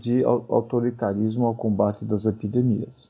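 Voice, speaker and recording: A medium-pitched man at a fairly slow pace. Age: 60s. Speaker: physician and pathology professor. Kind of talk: interview. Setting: remote call. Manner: hesitant with repetitions.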